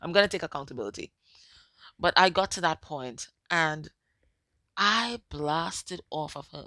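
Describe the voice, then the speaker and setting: A woman's bright, sharp tone with lively intonation, big swings in loudness and long, frequent pauses, in a dry, close sound with no echo and a very clean recording with a silent background. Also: moderate pace. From Caribbean. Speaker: psychic medium and tarot reader. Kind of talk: tarot reading monologue. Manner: soft-spoken; casual, repetitive.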